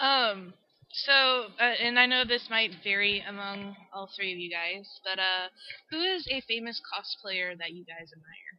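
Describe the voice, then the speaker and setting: The speaker has an American accent and talks at a fairly slow pace. Pitch varies in an ordinary way, while loudness swings widely. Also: woman, medium pitch for a woman. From Texas. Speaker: interviewer. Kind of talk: interview.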